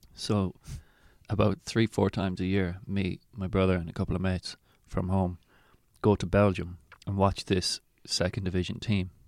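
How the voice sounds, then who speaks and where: With an Irish accent, a man of very deep, low pitch speaks at a moderate pace in a monotone, flat intonation with long, frequent pauses, on a very clean recording with a silent background and a dry, close sound with no echo. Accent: Irish (Mayo). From Ireland, County Mayo. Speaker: comedian. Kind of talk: casual chat.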